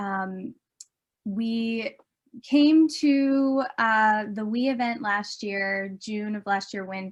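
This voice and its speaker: A woman with an American accent speaks at a very slow pace against a quiet background, her voice somewhat breathy, fairly high in pitch, with ordinary pitch variation. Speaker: documentary filmmaker. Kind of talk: conference presentation. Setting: virtual conference. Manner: animated.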